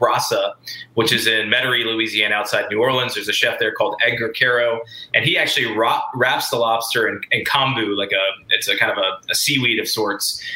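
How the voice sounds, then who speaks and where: A man speaks at a fairly quick pace with an American accent. There is noticeable background noise behind him. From US South. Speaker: chef. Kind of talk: casual chat.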